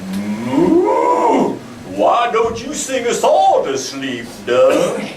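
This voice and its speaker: Using a put-on character voice, a man speaks at a very slow pace with a slight echo and clear background noise. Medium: stage play. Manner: slow, gentle, lowing.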